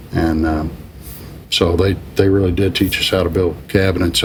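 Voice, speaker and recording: With an American accent, a man talks fairly quickly in a very deep, low, flat monotone over noticeable background noise. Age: 60s. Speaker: business executive. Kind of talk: interview. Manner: halting, many fillers.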